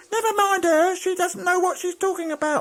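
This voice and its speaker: This put-on character voice is squeaky and extremely high in pitch, moving at a moderate pace. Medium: read story. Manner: curt, bossy.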